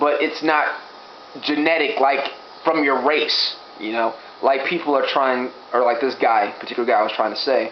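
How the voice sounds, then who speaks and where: A man with a fairly high pitch and ordinary pitch variation talks at a moderate pace with long, frequent pauses. Noticeable background noise and audible room echo fill the recording. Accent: American. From Gary, Indiana, US Midwest. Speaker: vlogger. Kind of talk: opinion vlog.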